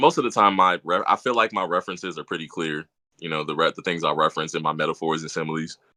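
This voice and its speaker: The speech runs at a very fast pace in an American accent with ordinary pitch variation. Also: man, very deep, low pitch for a man. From Louisiana, US South. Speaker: rapper. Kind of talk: interview. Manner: smooth.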